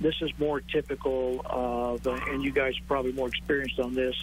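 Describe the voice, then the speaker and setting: The speaker is a man talking at a fairly quick pace. Noticeable background noise sits behind him. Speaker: county emergency manager. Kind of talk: live TV interview answer on storm damage.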